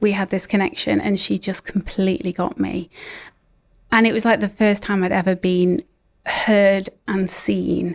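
On a very clean recording with a silent background, a woman with a British accent speaks at a moderate pace and medium pitch with fairly even intonation. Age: 40s. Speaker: ADHD coach. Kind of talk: interview.

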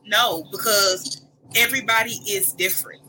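A woman's voice comes through with noticeable background noise around it. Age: 30s. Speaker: podcast guest. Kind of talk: casual chat.

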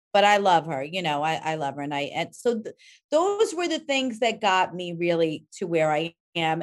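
In a plain, everyday voice, a woman with an American accent speaks at a moderate pace in a fairly low pitch with lively intonation against a quiet background. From New York, Rockland County. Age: 50s. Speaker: cosmetics company founder. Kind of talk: interview.

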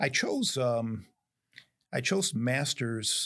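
Medium-pitched male voice with an American accent, in a very clean recording over a silent background. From upstate New York. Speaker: business executive and consultant. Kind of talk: interview. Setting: on a university campus.

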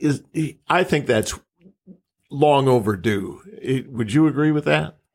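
With vocal fry and lively intonation, a man with an American accent talks at a fairly slow pace in a medium pitch. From Minnesota. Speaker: journalist co-interviewer. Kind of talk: interview.

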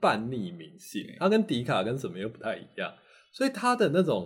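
This man's pitch moves through very wide swings. He keeps a moderate pace. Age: 40s. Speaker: university professor of Chinese literature. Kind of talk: casual interview. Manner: animated, repetitive fillers.

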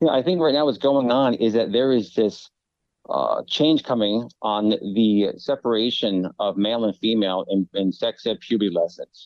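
Using an ordinary speaking voice, a man talks at a moderate pace with ordinary pitch variation and very even loudness. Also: medium pitch for a man. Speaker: conservative family policy advocate. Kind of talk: radio interview.

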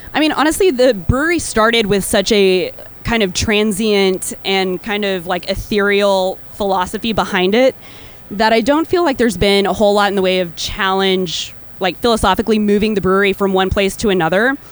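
A woman with a normal speaking voice talks at a fairly quick pace. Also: medium pitch for a woman, ordinary pitch variation. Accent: American. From Texas. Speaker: brewer. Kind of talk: live panel interview. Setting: stage with audience at festival.

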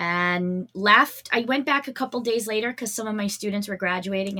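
Energetic and bright, with a sharp tone, a woman with an American accent speaks at medium pitch and a moderate pace with ordinary pitch variation. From Massachusetts. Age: 40s. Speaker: wellness coach. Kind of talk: interview.

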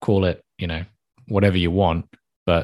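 A man with a very deep, low voice and a British accent speaks at a fairly quick pace in a monotone, flat intonation against a quiet background. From UK. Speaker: podcast host. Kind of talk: podcast interview.

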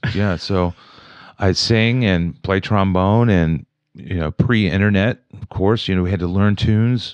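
In an American accent, a normal speaking voice moves at a fairly slow pace with fairly even intonation. The sound is dry and close with no echo, against a quiet background. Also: man, fairly low pitch for a man. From West Virginia, Wheeling. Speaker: jazz trombonist. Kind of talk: casual interview chat.

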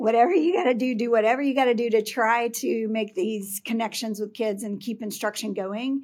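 A plain, everyday voice from a woman with an American accent, fairly high pitch and moderate pace, on a very clean recording with a silent background. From Texas, Houston area (Pasadena). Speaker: school district administrator. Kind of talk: interview.

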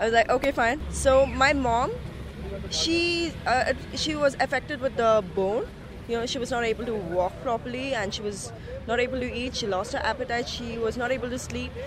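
A woman's high-pitched voice at a moderate pace, ordinary pitch variation, and noticeable background noise. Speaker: caregiver. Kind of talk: testimony. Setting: outdoors.

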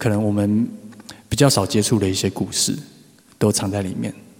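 A man speaks at a moderate pace in a fairly low pitch with flat, monotone intonation. Noticeable background noise runs under his voice. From Taiwan, Taipei. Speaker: singer-songwriter. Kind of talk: casual talk between songs.

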